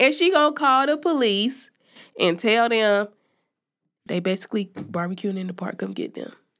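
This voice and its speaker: The speaker sounds animated, with very wide pitch swings and big swings in loudness at a moderate pace. Long, frequent pauses break up the speech on a very clean recording with a silent background. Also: woman, fairly high pitch for a woman. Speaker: podcast co-host. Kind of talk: casual chat. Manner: animated, laughs often.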